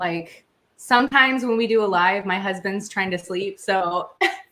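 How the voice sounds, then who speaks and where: Her medium pitch and bright, sharp tone come through as this woman speaks at a moderate pace with ordinary pitch variation. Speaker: true crime youtuber. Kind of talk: casual chat. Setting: livestream from home bathroom. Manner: slight stutter when nervous.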